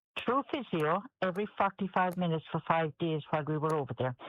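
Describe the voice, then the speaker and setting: Delivered with a Kerry accent. The pace is moderate. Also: woman. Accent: Kerry Irish. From Ireland, County Kerry. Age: 70s. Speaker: patient sharing her experience. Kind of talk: radio interview. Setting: radio interview. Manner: halting, repetitive.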